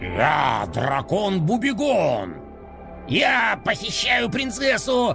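Someone shouts in a put-on character voice at a very slow pace, with clear music in the background. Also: man. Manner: menacing, boastful.

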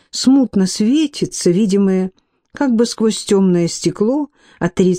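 A quiet setting behind a plain read-aloud passage.

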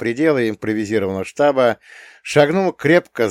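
Natural-voiced reading aloud

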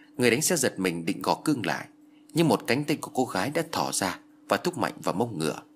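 Here is a natural reading voice. The text is read without strain.

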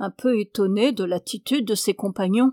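A plain read-aloud voice moves through ordinary pitch variation.

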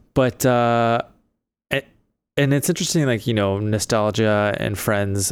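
On a very clean recording with a silent background, a man speaks at a moderate pace and a fairly low pitch. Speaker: podcast host, designer and photographer. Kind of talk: casual chat. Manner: animated.

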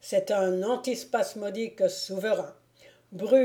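This clip is plain reading aloud.

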